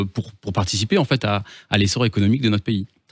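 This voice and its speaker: The recording is very clean and the background silent. A man speaks very fast. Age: 30s. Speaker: business transfer consultant. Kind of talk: radio interview. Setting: radio studio. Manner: hesitant, with repetitions.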